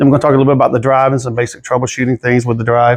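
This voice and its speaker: A man is speaking. He has a Southern US accent. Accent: Southern US, noticeable. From South Carolina. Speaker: drive sales engineer, Navy veteran. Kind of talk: technical presentation. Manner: casual, conversational.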